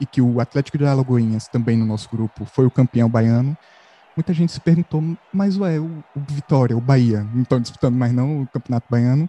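A man talks with a dark, mellow tone that is somewhat breathy and has ordinary pitch variation. The sound is dry and close, with no echo. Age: 20s. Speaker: journalism student, football podcast co-host. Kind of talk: casual chat.

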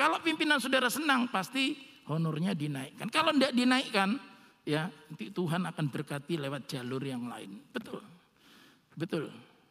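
In a raised, projected voice, a man speaks at a high pitch with very wide pitch swings. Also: moderate pace. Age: 60s. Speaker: pastor. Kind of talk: sermon.

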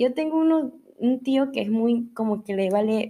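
A woman speaks at a fairly high pitch in an ordinary speaking voice. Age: 20s. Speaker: podcast host. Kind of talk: casual monologue.

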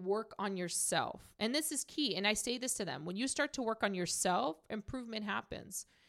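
A woman with an unremarkable speaking voice talks at a moderate pace, her fairly high pitch carried by lively intonation on a very clean recording with a silent background. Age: 30s. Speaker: mortgage business owner. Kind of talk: casual chat.

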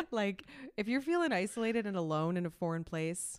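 A woman with a Canadian accent talks at a fairly quick pace in an unremarkable speaking voice, her pitch moving in an ordinary way. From Quebec, Montreal anglophone suburb. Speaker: YouTuber and content creator. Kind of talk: casual interview.

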